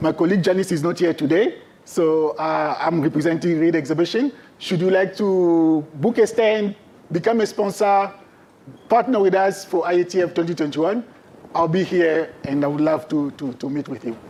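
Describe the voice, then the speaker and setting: With a French accent and a dark, mellow tone, a man speaks at a moderate pace, his pitch high for a man and ordinary in variation. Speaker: trade fair sales representative. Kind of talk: presentation.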